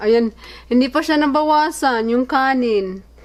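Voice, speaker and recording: At a moderate pace, the speech carries on through noticeable background noise. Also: woman. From Philippines. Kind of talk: casual vlog talk to camera.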